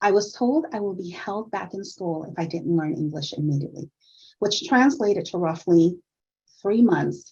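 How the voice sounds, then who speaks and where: A woman with a Spanish accent speaks at a moderate pace in a fairly low, somewhat breathy voice, her dark, mellow tone carried by lively intonation. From Puerto Rico. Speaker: nursing director. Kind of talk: event welcome speech. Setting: virtual summit.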